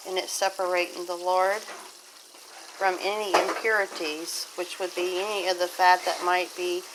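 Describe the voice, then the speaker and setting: Over noticeable background noise, a woman speaks at a fairly slow pace with a medium pitch. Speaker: homesteader. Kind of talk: casual how-to talk to camera.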